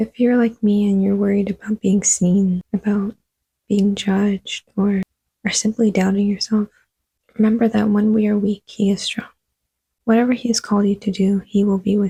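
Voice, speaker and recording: A woman speaks at a moderate pace with medium pitch and a monotone, flat intonation, her voice somewhat breathy with a dark, mellow tone. The sound is dry and close with no echo, and the loudness stays very even. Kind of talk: devotional talk to camera.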